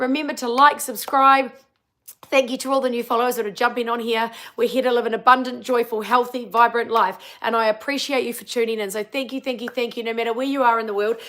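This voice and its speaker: A woman with a New Zealand accent, high in pitch, bright and sharp in tone, at a very fast pace with big swings in loudness. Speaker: wellbeing coach. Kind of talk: casual live-stream chat; guided tapping session, live stream. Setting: live stream. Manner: animated.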